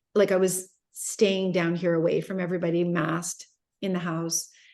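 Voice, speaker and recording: Speaking at a fairly quick pace, a woman uses a normal speaking voice at a medium pitch. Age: 50s. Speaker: entrepreneur and business mentor. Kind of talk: interview.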